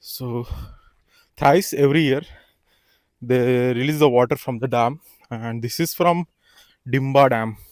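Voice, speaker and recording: A man speaks with an Indian accent at a fairly slow pace. His pitch is medium, and the sound is dry and close with no echo. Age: 20s. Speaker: farmer. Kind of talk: casual talk to camera. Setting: outdoors.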